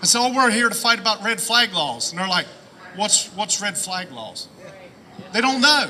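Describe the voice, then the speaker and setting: A man with an American accent projects a raised voice at an extremely high pitch. Background noise is noticeable. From southern Ohio. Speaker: rally speaker. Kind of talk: rally speech. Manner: impassioned.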